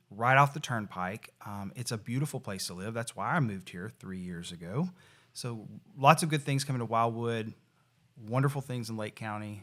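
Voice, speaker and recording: Speaking at a moderate pace in a Tennessee accent, a man with a medium pitch uses ordinary pitch variation and big swings in loudness, on a very clean recording with a silent background. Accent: US Southern (Tennessee). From Tennessee (Nashville area). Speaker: real estate association executive. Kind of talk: podcast interview.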